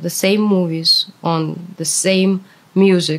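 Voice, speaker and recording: A woman with a Russian accent and medium pitch speaks at a very slow pace in a monotone, flat intonation against noticeable background noise. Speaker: translator, former anti-war protester. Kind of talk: interview.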